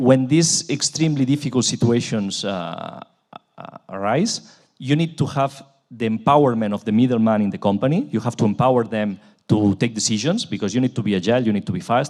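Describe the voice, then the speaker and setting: With a Spanish accent and lively intonation, a man speaks at medium pitch and a moderate pace. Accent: Spanish accent, noticeable. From Spain, Barcelona. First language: Spanish or Catalan. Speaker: transport company executive. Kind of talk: panel discussion. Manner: halting.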